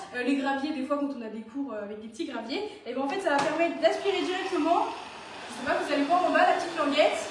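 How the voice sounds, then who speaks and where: A woman talks at a very fast pace in a high pitch with lively intonation and big swings in loudness. Audible room echo and noticeable background noise surround her. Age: 20s. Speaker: vacuum cleaner sales demonstrator. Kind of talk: product demonstration. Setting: live stream at home.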